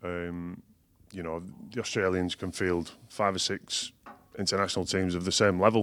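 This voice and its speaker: A man speaks at a moderate pace in a very deep, low pitch. His intonation is monotone and flat. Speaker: rugby league coach, former player. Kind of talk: casual sports chat.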